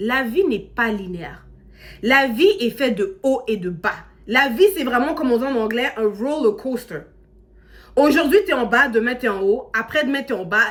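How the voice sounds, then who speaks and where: At a high pitch, a woman speaks in an animated tone at a fairly slow pace. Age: 30s. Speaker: social media content creator. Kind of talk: casual motivational talk to camera. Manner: animated, conversational.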